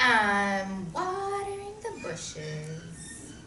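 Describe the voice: Using a put-on character voice at medium pitch, a woman speaks at a very slow pace with very wide pitch swings. There is audible room echo and clear music playing behind her.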